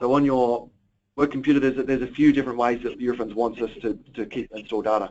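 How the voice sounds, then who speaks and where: Speaking very fast, the man keeps a medium pitch and fairly even intonation. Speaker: IT trainer. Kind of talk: training presentation.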